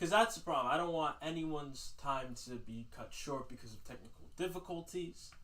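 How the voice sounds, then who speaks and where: Audible echo from the room surrounds the voice. Its pace stays moderate. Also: man. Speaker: livestream host. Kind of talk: casual livestream monologue. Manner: loud.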